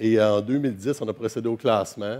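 This man's voice has a dark, mellow tone. His pitch is fairly low. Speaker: professor giving a conference talk. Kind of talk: lecture. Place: hall. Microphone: headset.

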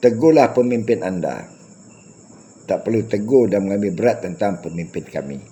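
A man's fairly low voice with a dark, mellow tone, lively intonation and a moderate pace. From Malaysia. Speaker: YouTube commentator. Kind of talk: monologue rant addressed to critics.

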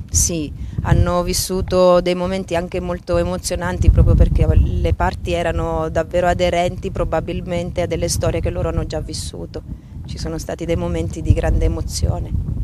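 Amid loud background noise, a woman talks at a moderate pace in a dry sound with no echo. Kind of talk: interview answer. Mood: calm, warm, reflective. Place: boat. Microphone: handheld.

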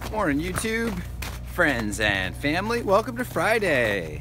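Against noticeable background noise, a man speaks at a fairly slow pace in a dry sound with no echo. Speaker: family vlogger. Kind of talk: casual vlog chat. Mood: cheerful, relaxed. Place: garden. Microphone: phone near.

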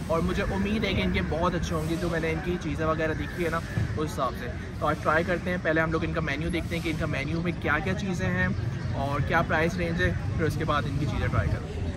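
Loud background noise sits behind the recording. A man speaks over it at a fairly quick pace. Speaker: food vlogger. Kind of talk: casual vlog chat. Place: street.

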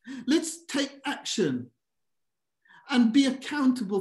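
Over a quiet background, a man speaks at a very slow pace with lively intonation. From Birmingham, England. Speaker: governance expert and presenter; presenter. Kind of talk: presentation. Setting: video call. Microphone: webcam.

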